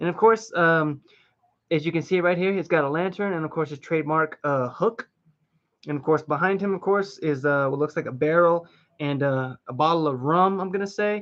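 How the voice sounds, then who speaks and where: High-pitched male voice, its pitch varying in an ordinary way. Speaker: collectible figure reviewer / streamer. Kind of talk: live stream toy review. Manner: fast; animated.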